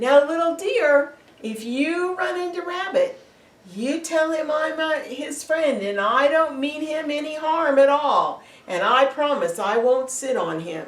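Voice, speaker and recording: High in pitch, a put-on character voice moves at a fairly slow pace. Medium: read story.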